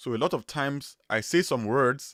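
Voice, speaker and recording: The speaker has a strong Nigerian accent and ordinary pitch variation. The recording is very clean, with a silent background. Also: man. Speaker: web developer, YouTuber. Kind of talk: live stream chat. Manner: casual, with repetitions.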